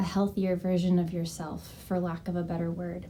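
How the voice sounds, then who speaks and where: A soft-spoken woman's somewhat breathy voice with a dark, mellow tone. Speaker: health and wellness coach. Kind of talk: casual vlog talk. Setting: at home.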